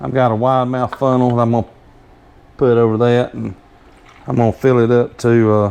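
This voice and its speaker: With a strong Southern US accent, a man speaks at a medium pitch in a monotone, flat intonation, his dark, mellow tone broken by long, frequent pauses. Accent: strong Southern drawl. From US South. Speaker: homesteader demonstrating canning. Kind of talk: tutorial. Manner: hesitant, stumbling over words; casual, rambling.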